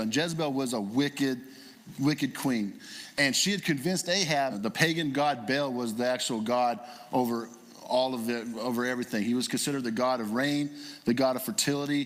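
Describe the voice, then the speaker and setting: Audible room echo surrounds a man who speaks at a medium pitch and a fairly quick pace with ordinary pitch variation. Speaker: guest preacher. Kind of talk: sermon. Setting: church. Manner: fast.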